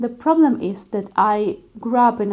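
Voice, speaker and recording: Using a Russian accent, a woman speaks at a very slow pace in a dark, mellow tone. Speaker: concert pianist. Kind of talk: vlog monologue.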